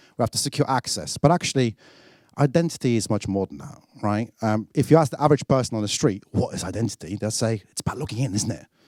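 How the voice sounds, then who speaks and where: With a British accent, a man speaks at a medium pitch and a very fast pace, with lively intonation and big swings in loudness, in a very clean, dry, close recording with no echo and a silent background. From UK. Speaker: product marketing director, keynote speaker. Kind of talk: conference keynote. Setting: stage with audience. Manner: animated.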